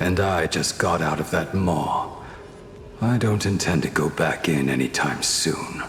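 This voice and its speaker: Against clear background noise, a man puts on a character voice. It is very deep and low, delivered at a fairly slow pace. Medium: machinima. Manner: formal, calm.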